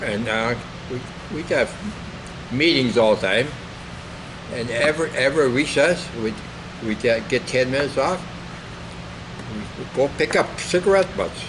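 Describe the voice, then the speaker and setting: Amid noticeable background noise, a man with a Minnesota accent talks at a medium pitch and a moderate pace, with ordinary pitch variation and long, frequent pauses. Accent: Upper Midwest (Minnesota). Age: 80s+. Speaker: war veteran, retired farmer. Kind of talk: oral history interview. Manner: halting.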